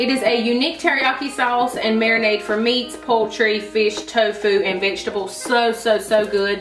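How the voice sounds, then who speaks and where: With clear music in the background and audible room echo, a woman talks at a moderate pace, with hardly any pauses and ordinary pitch variation. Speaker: vlogger. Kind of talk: casual vlog chat. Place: kitchen. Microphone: camera far.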